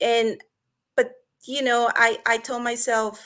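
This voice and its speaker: A woman speaks with a Spanish accent at a fairly slow pace. Her voice is high-pitched. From Mexico. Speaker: online business partner. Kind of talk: webinar testimony.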